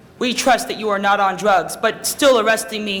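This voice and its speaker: Amid noticeable background noise and audible room echo, a man talks at a moderate pace with a high pitch. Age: 20s. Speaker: public commenter. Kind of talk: public testimony. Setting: council chamber. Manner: halting.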